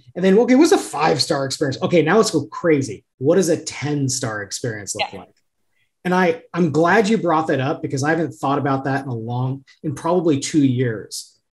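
The man's delivery is fairly quick, with lively intonation and a fairly high pitch. His loudness swings widely, and he sounds somewhat breathy. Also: quiet background. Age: 30s. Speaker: podcast host. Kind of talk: interview. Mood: friendly, relaxed. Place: home room. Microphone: video call.

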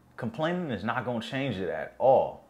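A man speaks at a fairly quick pace. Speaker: vlogger. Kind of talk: casual vlog chat.

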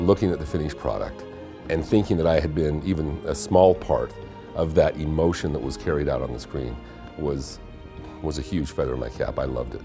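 A man's very deep, low voice at a fairly quick pace, with ordinary pitch variation and clear music in the background. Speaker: former television news anchor and documentary narrator. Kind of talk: interview answer, casual talk to camera. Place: studio. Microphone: lapel.

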